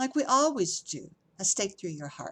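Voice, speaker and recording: Putting on a character voice, a woman at medium pitch makes very wide pitch swings. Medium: read story.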